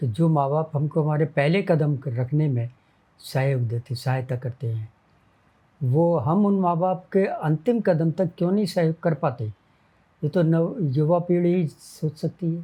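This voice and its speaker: A man speaks with a fairly high pitch and ordinary pitch variation. His tone is dark and mellow. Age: 80s+. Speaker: retired junior engineer. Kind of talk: interview answer.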